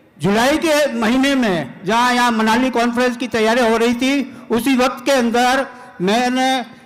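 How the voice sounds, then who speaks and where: The man's pitch is extremely high, with fairly even intonation. Noticeable background noise and audible room echo are present. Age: 70s. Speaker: product testimonial giver. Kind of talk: testimony.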